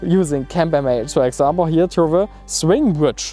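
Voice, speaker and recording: A man with a German accent talks at a moderate pace. Faint music plays in the background of a dry sound with no echo. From Germany. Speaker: travel vlogger. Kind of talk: casual tutorial talk. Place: open country.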